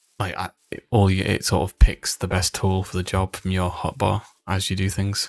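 A man whispers quietly at a fairly quick pace. The sound is dry and close with no echo, on a very clean recording with a silent background. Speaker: gaming video creator. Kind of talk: gameplay commentary. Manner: quiet, near whisper; relaxed, chill.

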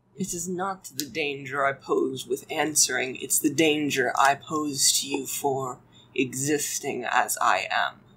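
A rumbling put-on character voice at a low-to-middle pitch and a fairly slow pace. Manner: grim, guarded, ominous.

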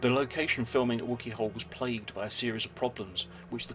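Fairly quick speech with ordinary pitch variation over music in the background. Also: man. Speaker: video narrator. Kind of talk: storytelling narration.

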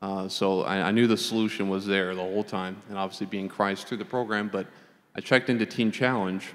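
Speaking very fast at a fairly low pitch, a man keeps his intonation monotone and flat. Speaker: recovered addict. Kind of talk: testimony. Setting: church.

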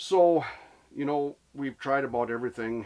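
A man's voice holds ordinary pitch variation while keeping a moderate pace. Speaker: angler vlogger. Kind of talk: casual vlog chat. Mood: relaxed, reflective. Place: tent. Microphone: phone near.

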